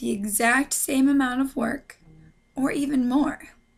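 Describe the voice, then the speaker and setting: Over music in the background, a woman with a high pitch speaks at a very slow pace with fairly even intonation. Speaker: business student. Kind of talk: class presentation.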